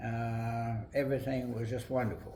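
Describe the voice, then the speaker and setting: A man speaks at a fairly slow pace in an American accent. His voice is somewhat breathy, and the room echo is audible. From West Virginia, Webster Springs. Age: 80s+. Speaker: retired library director. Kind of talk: oral history interview.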